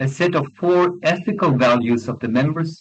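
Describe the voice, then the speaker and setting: With a non-native accent, a man at a fairly high pitch speaks at a moderate pace with lively intonation. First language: not English. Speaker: law professor and conference speaker. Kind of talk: academic conference presentation. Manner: formal.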